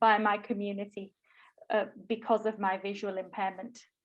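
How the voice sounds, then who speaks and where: The speaker is a woman. She speaks with a Yorkshire accent. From northern England, Bradford, Yorkshire. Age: 20s. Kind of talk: talk at online workshop. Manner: hesitant, many fillers.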